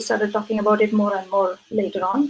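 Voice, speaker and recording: A woman with a Keralan accent. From India, Kerala. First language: Malayalam. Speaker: physician and researcher. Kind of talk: interview.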